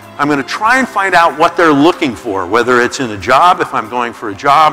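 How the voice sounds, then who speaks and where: Faint music in the background behind a man's fairly quick pace. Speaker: keynote speaker. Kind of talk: motivational talk. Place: stage. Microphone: lapel.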